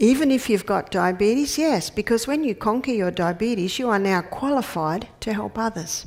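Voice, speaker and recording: Recorded very cleanly with a silent background, a woman with an Australian accent speaks at a moderate pace with lively intonation. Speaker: naturopath and health educator. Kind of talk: health lecture. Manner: conversational.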